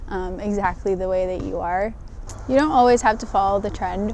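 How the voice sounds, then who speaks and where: A soft-spoken woman talks at a medium pitch. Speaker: construction project manager. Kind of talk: interview testimony. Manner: hesitant, many fillers.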